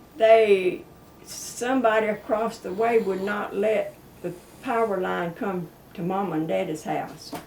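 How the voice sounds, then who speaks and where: A woman with an American accent, medium pitch and ordinary pitch variation at a fairly slow pace, over noticeable background noise. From South Georgia, US. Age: 80s+. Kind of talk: interview answer, reminiscing about old times.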